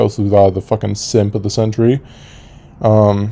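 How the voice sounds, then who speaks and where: Fairly low in pitch, this man's voice keeps a monotone, flat intonation. He talks at a moderate pace. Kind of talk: casual lore commentary. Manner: flat, low-energy natural voice.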